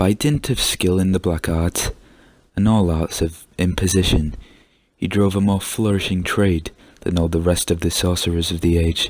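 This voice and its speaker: Soft-spoken and calm, a man with a very deep, low pitch talks at a moderate pace with very even loudness and fairly even intonation in a very clean recording with a silent background. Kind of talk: story reading, soft-spoken ASMR-style storytime. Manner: soft-spoken, calm.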